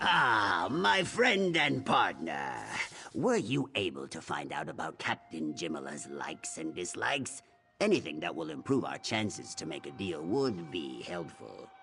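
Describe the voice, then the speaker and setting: A man puts on a character voice at a very deep, low pitch and moderate pace, with faint music in the background. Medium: video game. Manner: detailed, instructive.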